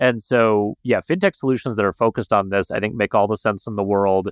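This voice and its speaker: A man in a normal speaking voice with a General American accent, medium-pitched and fairly quick, in a dry, close sound with no echo. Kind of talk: casual chat.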